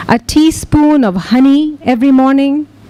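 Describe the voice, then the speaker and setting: Noticeable background noise runs under the voice. The delivery is very slow. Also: woman. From Pakistan. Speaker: poet. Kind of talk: poetry reading.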